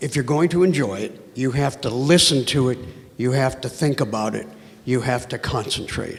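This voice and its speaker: There is noticeable background noise behind this man. He speaks at a medium pitch and a moderate pace with ordinary pitch variation. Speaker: audience member asking a question. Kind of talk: audience Q&A.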